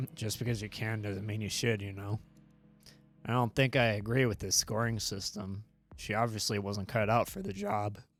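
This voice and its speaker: Over music in the background, a man uses a raspy put-on character voice, fairly low in pitch and monotone, at a moderate pace. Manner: acted, jokey.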